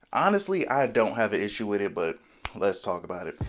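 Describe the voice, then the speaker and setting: A man is speaking. His voice is quiet. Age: 30s. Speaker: gaming YouTuber. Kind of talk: casual commentary vlog. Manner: quiet, subdued volume.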